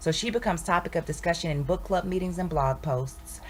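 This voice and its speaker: Fairly quick and fairly low-pitched, a woman speaks with vocal fry and ordinary pitch variation. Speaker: spoken word poet. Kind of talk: poetry reading.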